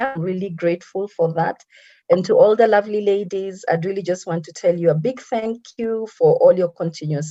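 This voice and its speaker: The voice has a dark, mellow tone. Its intonation is lively. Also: woman. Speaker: motivational speaker. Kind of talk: lecture. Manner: fast.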